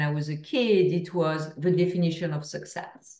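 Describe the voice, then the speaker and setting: Fairly low in pitch with ordinary pitch variation, a woman speaks at a fairly slow pace in a French accent. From France. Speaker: author and speaker. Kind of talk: podcast interview.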